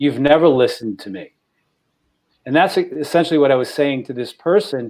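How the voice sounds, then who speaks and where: Fairly quick and fairly high-pitched, a man talks with an American accent and ordinary pitch variation. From New York. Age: 60s. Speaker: podcast co-host. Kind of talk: personal testimony in panel discussion.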